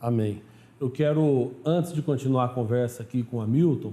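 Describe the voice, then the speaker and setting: With a Minas Gerais accent, a man speaks at a moderate pace in a dark, mellow tone, his medium pitch showing ordinary variation. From southern Minas Gerais, Brazil. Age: 40s. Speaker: pastor and TV show host. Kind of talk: TV program interview and introduction.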